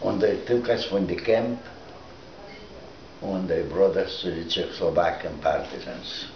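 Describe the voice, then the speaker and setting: Over noticeable background noise and audible room echo, a man speaks at a fairly slow pace with long, frequent pauses. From Lithuania. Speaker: Holocaust survivor. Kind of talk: oral history interview. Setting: recorded interview. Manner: halting.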